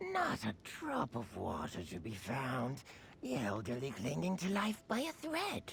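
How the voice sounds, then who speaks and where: A put-on character voice from a man, drawling at a fairly slow pace over clear background noise. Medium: video game. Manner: folksy, casual drawl.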